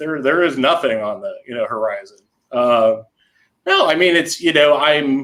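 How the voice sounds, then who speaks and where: In a plain, everyday voice, a man speaks at a moderate pace with a fairly high pitch and ordinary pitch variation. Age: 40s. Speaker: intellectual property lawyer. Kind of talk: casual interview chat.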